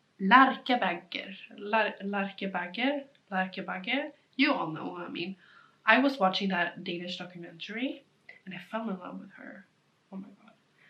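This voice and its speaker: A woman with a Swedish accent speaks at a medium pitch, with big swings in loudness. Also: ordinary pitch variation, moderate pace. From Sweden. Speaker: knitting vlogger. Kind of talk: casual chat. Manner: rambling, fillers.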